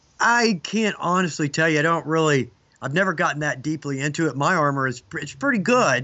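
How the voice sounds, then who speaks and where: A man speaks in a Southern US accent with a fairly high pitch. His intonation is lively and his pace fairly quick. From US South, Georgia (Atlanta). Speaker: leathercraft instructor. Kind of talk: casual interview chat.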